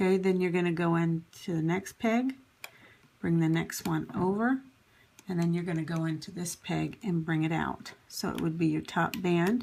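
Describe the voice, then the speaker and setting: A woman speaks at a moderate pace with a fairly low pitch and ordinary pitch variation. Hers is a plain, everyday voice. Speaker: crafting tutorial channel host. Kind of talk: tutorial. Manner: conversational, instructive, with fillers.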